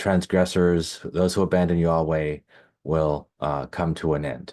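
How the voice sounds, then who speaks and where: A very deep, low-pitched man's voice, soft-spoken with a dark, mellow tone, fairly even intonation and a very slow pace, on a very clean recording with a silent background. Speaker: Hebraist and linguist. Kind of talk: Bible study lecture to camera.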